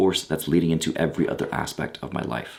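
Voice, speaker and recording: A man speaks very fast in a very deep, low voice with vocal fry. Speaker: voice and charisma coach. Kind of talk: casual talk to camera. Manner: energetic, blunt.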